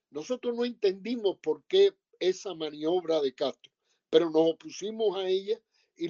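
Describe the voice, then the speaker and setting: Dry, close audio with no echo of a man's high voice, dark and mellow in tone, at a fairly slow pace with ordinary pitch variation. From Cuba, Sagua la Grande (Las Villas). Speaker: former student activist and publisher. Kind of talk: testimony.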